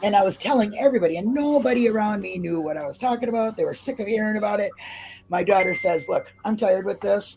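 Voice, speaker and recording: Amid noticeable background noise, a woman speaks at a very fast pace with a medium pitch and lively intonation. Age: 50s. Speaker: true crime commentator, YouTuber. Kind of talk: casual chat.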